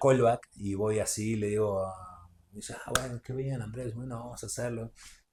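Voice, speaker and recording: A man with a Rioplatense accent speaks at a moderate pace in a medium-pitched, dark, mellow, somewhat breathy voice. His intonation is monotone and flat, and the recording is very clean with a silent background. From Uruguay. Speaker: actor. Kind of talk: podcast interview.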